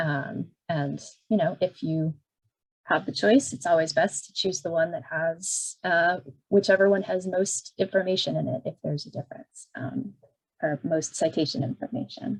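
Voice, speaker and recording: Her voice is somewhat breathy and fairly low for a woman. She keeps a moderate pace with lively intonation. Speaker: librarian. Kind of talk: tutorial.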